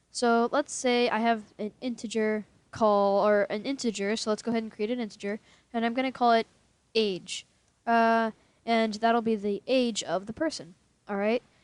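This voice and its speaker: A woman at a fairly high pitch and moderate pace, fairly even in intonation, with a dry, close sound with no echo and a quiet background. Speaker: programming tutorial creator. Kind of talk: tutorial. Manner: halting, many fillers.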